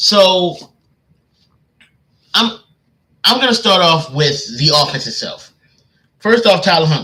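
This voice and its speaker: Raised, projected male voice, high pitch, bright, sharp tone, lively intonation, fairly slow pace, long, frequent pauses. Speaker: sports commentator. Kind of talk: casual analysis live stream. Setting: live stream. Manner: halting, many fillers.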